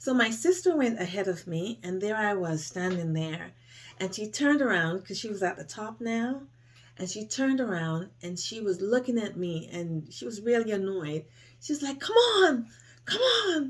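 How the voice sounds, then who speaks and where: At a moderate pace, a woman speaks at a medium pitch in a somewhat breathy voice with very wide pitch swings. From Jamaica, Portland parish. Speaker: storyteller. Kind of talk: personal storytelling.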